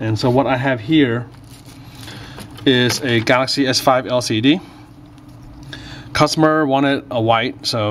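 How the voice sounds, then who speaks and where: A man talks with light background noise behind him. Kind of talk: tutorial. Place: workshop.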